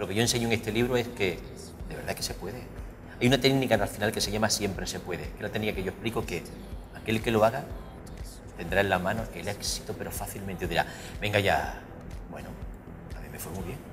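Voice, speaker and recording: Music plays behind a man's voice. He talks at a very fast pace with fairly even intonation. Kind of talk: interview answer. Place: cafe. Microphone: lapel.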